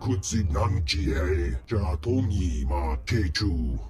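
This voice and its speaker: A growling, put-on character voice at a very slow pace, over clear background noise. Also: man. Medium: video game. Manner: imperious, speaks alien language.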